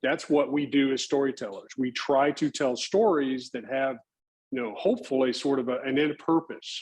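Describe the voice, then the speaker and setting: This man has a normal speaking voice with an American accent. His pitch is fairly high and his pace fairly slow. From North Texas, Fort Worth. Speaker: nature photographer. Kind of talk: talk to audience. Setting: club meeting with audience.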